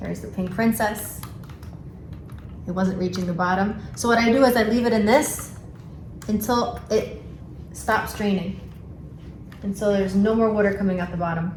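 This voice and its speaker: Speaking in a strong New York accent, a woman talks at a moderate pace and medium pitch with ordinary pitch variation and long, frequent pauses, with audible room echo and noticeable background noise. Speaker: plant hobbyist vlogger. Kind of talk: casual tutorial vlog. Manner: casual, hesitant with fillers.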